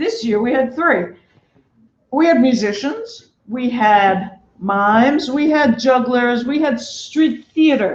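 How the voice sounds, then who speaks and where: A loud woman with a Brooklyn accent, high pitch, ordinary pitch variation and a very slow pace. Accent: New York (Brooklyn). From New York City (Brooklyn). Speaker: festival producer. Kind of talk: speech to an audience. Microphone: no microphone.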